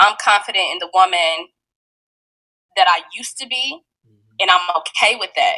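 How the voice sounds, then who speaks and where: In an American accent, a bright, sharp voice moves at a moderate pace, with very wide pitch swings, big shifts in loudness and long, frequent pauses. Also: woman, medium pitch for a woman. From Fort Wayne, Indiana. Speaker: caregiver and support group leader. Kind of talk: personal testimony interview. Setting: studio.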